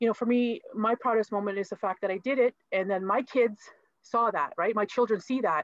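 A woman with a Canadian accent talks at a fairly quick pace in a fairly high pitch with ordinary pitch variation, using a plain, everyday voice. The sound is dry and close, with no echo. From Manitoulin Island, Ontario. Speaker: lawyer. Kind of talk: panel discussion. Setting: video call.

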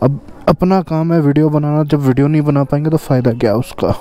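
The speech moves at a moderate pace, with a dry sound and no echo. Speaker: motovlogger. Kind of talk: casual vlog chat. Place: motorbike. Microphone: helmet.

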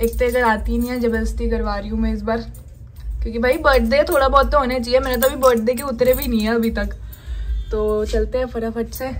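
Faint music plays in the background. A woman speaks at a moderate pace. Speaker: vlogger. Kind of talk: casual vlog chat. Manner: soft-spoken. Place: home room. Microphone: phone near.

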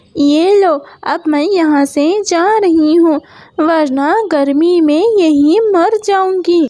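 A female-sounding cartoonish character voice speaks at an extremely high pitch. The pace is very slow. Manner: haughty, mocking, condescending.

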